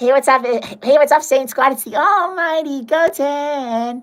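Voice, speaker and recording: The speaker uses a put-on character voice. The pitch is high. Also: fairly slow pace. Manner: upbeat streamer-style greeting.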